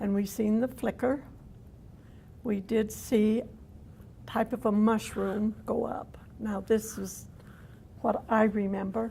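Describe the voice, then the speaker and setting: In a Utah accent, a woman with a fairly high pitch and a dark, mellow, somewhat breathy tone speaks very slowly in a monotone, flat way, leaving long, frequent pauses. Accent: Utah American English. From Cedar City, Utah. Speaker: downwinder, cancer survivor. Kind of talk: oral history interview answer.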